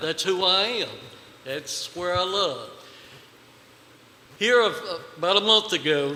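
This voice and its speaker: A man with an American accent speaks in a raised, projected voice at a high pitch, with long, frequent pauses and noticeable background noise. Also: ordinary pitch variation, fairly slow pace. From Virginia, Pittsylvania County. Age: 60s. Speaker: citizen speaker. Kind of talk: public comment. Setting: county board meeting room.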